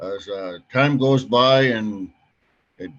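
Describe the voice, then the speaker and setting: Speaking at a very slow pace, the man uses lively intonation at a medium pitch. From northern Saskatchewan, Canada (First Nation). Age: 70s. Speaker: retired uranium mine worker. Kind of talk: panel introduction. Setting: video call webinar. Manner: halting, repetitive.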